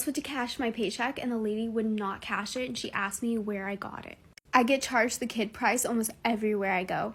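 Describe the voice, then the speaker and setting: Somewhat breathy and fairly high in pitch, a woman talks at a fairly quick pace with fairly even intonation. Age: 20s. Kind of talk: casual testimony monologue.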